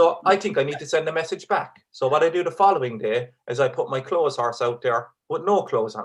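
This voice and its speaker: A fairly high-pitched man with an Irish accent, speaking at a very fast pace. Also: lively intonation. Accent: Irish, kept despite living in England. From Ireland. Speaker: stand-up comedian. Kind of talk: stand-up; charity appeal, thanks. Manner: hesitant, many fillers and repeats; keeping voice down so kids stay asleep.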